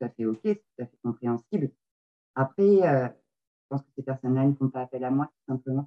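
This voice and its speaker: A woman with a very deep, low pitch speaks at a moderate pace, her loudness swinging widely while her pitch varies in an ordinary way. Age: 40s. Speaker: medium and card reader. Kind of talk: interview.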